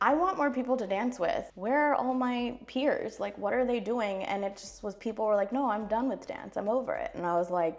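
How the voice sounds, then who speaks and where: An unremarkable speaking voice with an American accent. It moves at a fairly quick pace. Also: woman. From US, California. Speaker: classical Indian dancer. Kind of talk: casual get-ready-with-me vlog. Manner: casual, chatty.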